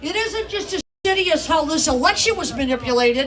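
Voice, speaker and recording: A woman with an American accent speaks at a moderate pace, her intonation lively. Noticeable background noise and audible room echo fill the recording. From Upper Peninsula of Michigan. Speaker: gun rights activist and author. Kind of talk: speech at a rally.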